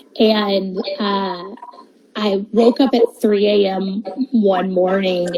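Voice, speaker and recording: A woman talks while noticeable noise sounds in the background. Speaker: events agency founder. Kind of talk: interview. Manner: loud, over the top; halting, many fillers.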